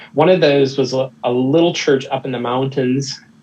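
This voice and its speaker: At a moderate pace, a man with an American accent keeps his intonation fairly even. Noticeable background noise can be heard. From United States. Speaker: missionary and theological educator. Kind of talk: casual podcast interview. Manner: halting, with many fillers and repeats.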